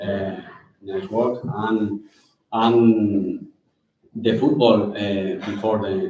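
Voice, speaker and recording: Audible room echo surrounds a man speaking at a very slow pace in a fairly low pitch, with ordinary pitch variation and long, frequent pauses. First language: Spanish. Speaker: football club director. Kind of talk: conference talk. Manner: halting.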